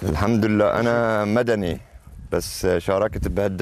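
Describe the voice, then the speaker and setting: A man speaks at a very slow pace. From Syria, Latakia. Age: old. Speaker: rebel fighter. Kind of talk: field interview. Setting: outdoors in a village. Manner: animated, joyful.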